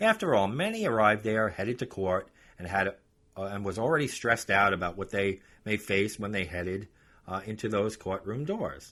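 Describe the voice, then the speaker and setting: At a fairly quick pace, a man with a New York accent speaks in a fairly low pitch with a bright, sharp tone. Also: ordinary pitch variation, very clean recording, silent background. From New York, Long Island. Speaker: podcast host and author. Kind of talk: casual podcast talk; reading aloud from own book.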